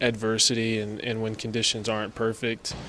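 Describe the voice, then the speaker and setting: A speaker with a West Texas accent. The pace is moderate. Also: man. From West Texas, Amarillo. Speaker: college athlete. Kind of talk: sports interview.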